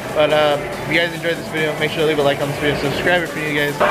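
A man's voice over loud background music. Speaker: fan vlogger. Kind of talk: casual vlog chat and game commentary. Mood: disappointed after a loss. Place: stadium. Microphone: phone near.

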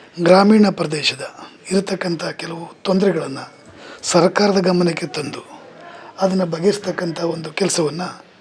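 Fairly even intonation from a man with a high pitch, big swings in loudness, and noticeable background noise. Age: 50s. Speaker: politician. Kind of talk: press statement. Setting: press meet. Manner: halting.

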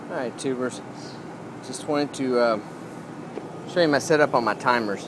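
A man's voice, dry and free of echo, carries ordinary pitch movement while noticeable background noise persists. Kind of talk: casual tutorial. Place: garden. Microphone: phone near.

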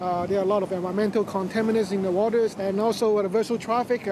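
Music plays behind a man speaking at a very fast pace. His pitch is high and his intonation fairly even, with a dry sound and no echo. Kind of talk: interview answer. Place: boat.

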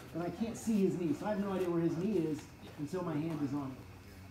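Speech moves at a fairly quick pace. Noticeable background noise sits behind it. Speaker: martial arts coach. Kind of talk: tutorial. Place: gym. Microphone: camera far.

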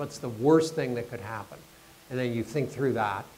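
This man has a normal speaking voice with a Canadian accent. His pitch is medium, with ordinary variation. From Canada. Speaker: development expert giving a guest lecture. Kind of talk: lecture. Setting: stage with audience.

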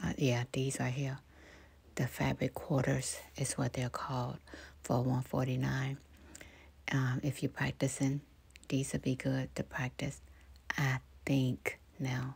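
A soft-spoken woman at a very slow pace, with long, frequent pauses. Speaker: ASMR YouTuber. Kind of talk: soft-spoken voiceover store walkthrough. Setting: recorded voiceover in studio/home. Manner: casual, with filler words and laughs.

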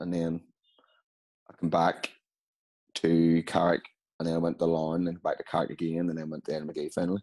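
A man's very deep, low voice in a Northern Irish accent, dark and mellow in tone, monotone and flat, with long, frequent pauses over a quiet background. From Northern Ireland. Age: 30s. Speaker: amateur footballer. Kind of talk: casual interview. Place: home room. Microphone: video call.

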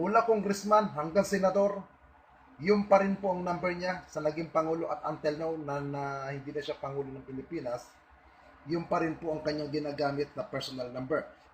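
Noticeable background noise sits behind a man with a fairly high voice, speaking at a fairly quick pace with ordinary pitch variation. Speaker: online video blogger. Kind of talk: monologue to online audience. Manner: defiant.

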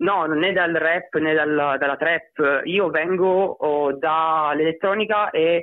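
A man with a slight Sicilian accent speaks at a very slow pace in a fairly high pitch, with fairly even intonation. His loudness stays very even and there are hardly any pauses. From Sicily. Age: 20s. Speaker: electronic/rap artist. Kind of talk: interview.

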